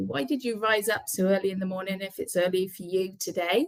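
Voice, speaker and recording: A woman speaks with a British accent. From UK. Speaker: immigration careers and relocation manager. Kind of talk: webinar presentation. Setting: online webinar.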